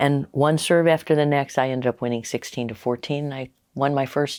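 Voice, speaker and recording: On a very clean recording with a silent background, a woman speaks with a very deep, low pitch and fairly even intonation. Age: 60s. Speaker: author and coach. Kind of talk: interview.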